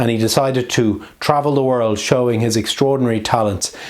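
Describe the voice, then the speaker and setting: Noticeable background noise and audible room echo surround a man speaking with a slight Irish accent. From Ireland, Dublin. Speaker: magician and street performer. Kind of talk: introducing the next act; stage comedy magic show.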